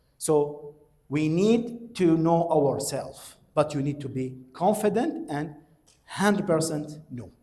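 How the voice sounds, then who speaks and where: Audible room echo surrounds a man's high-pitched voice, which has lively intonation. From Iraq. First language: Arabic. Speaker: university lecturer. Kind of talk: lecture.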